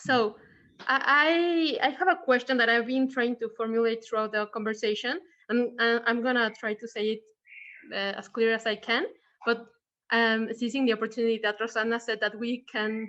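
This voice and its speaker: With a Mexican accent, a woman talks at a moderate pace in a fairly high, bright and sharp voice, her intonation fairly even and her pauses long and frequent. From Mexico. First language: Spanish. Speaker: audience member asking a question. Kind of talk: Q&A question in online talk. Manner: halting, many fillers.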